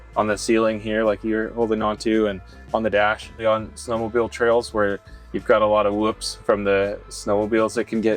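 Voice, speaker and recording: Music plays in the background as a man talks. He has a fairly low pitch and an American accent. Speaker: manufacturer employee explaining the product. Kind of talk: casual factory tour explanation.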